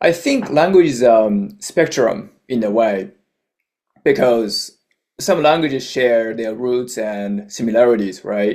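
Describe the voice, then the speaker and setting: A man speaks with a Japanese accent at a very slow pace. His intonation is lively. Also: medium pitch for a man. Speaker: YouTuber, language learner. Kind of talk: casual vlog monologue.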